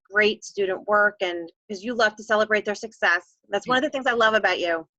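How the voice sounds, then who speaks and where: Bright and sharp in tone, a woman with an American accent and a fairly high pitch speaks with ordinary pitch variation, the sound dry and close with no echo against a quiet background. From New York or New Jersey. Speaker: teacher and edtech host. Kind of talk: casual live-stream interview. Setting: Facebook live video. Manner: fast.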